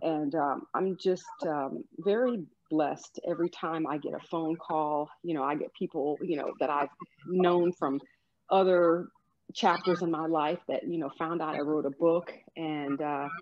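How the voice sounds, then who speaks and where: With an unremarkable speaking voice, a woman talks at a fairly slow pace, her pitch fairly low and her intonation fairly even. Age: 50s. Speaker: author and life coach. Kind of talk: interview, personal testimony.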